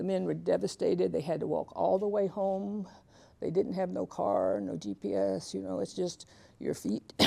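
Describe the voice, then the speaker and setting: A woman with an Alabama accent at a moderate pace. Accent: Southern US (Alabama). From US South, Tuskegee, Alabama. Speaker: author and keynote speaker. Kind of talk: lecture.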